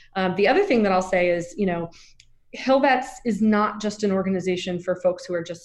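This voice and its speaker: In an American accent, an unremarkable speaking voice moves at a fairly quick pace. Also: woman. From US Southeast. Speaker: nonprofit executive director. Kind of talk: interview.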